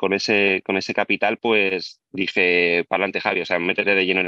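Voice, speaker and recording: Using a plain, everyday voice, a man talks at a moderate pace with a fairly low pitch and fairly even intonation. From Spain, Albacete. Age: 30s. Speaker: property investor. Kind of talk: interview.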